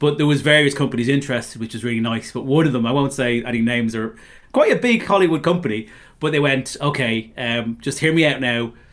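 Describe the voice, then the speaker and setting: At a very fast pace, a man speaks at a medium pitch with ordinary variation, on a very clean recording with a silent background. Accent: Dublin. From Dublin, Ireland. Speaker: novelist and former stand-up comedian. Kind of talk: casual interview chat.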